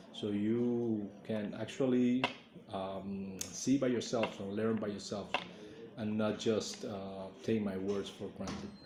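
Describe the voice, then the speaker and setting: With a Spanish accent, a man speaks at a very slow pace in a fairly low, flat monotone. The recording has audible room echo and noticeable background noise. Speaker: Cuban institute official. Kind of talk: presentation. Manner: halting, many fillers.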